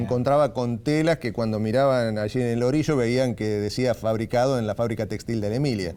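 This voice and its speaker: A man at a fairly quick pace, fairly even intonation and hardly any pauses. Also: medium pitch for a man. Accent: Argentine. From San Nicolás, Buenos Aires province, Argentina. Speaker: radio announcer, journalist and writer. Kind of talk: interview answer.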